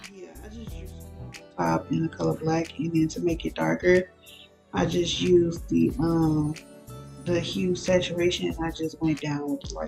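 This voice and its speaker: Moderate-paced speech from a woman, with music behind her. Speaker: avatar editing tutorial maker. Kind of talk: casual tutorial voiceover. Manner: casual, hesitant with fillers.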